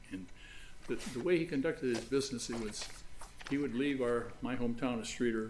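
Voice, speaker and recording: Delivered at a fairly quick pace, the speech has fairly even intonation and audible room echo. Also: man. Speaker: lawyer. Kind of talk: courtroom oral argument. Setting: large courtroom. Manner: halting, many fillers; quiet.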